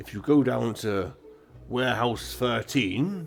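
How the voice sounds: Putting on a character voice with a Welsh accent, a man at medium pitch projects loudly with lively intonation over faint background music.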